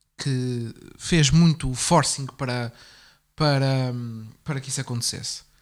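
A man speaks at a medium pitch. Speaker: political commentary podcast host. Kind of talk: casual political discussion.

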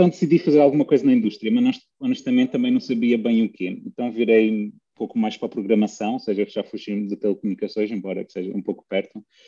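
A man at a very fast pace, with big swings in loudness and a dry, close sound with no echo. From Russia. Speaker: PhD student and data competition co-founder. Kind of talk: interview. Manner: halting.

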